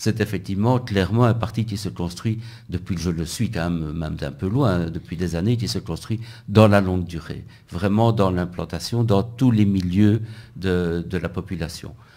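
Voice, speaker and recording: With ordinary pitch variation, a man speaks in a very deep, low pitch. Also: moderate pace. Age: 60s. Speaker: physics professor and election candidate. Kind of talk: radio interview. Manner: halting, with repetitions.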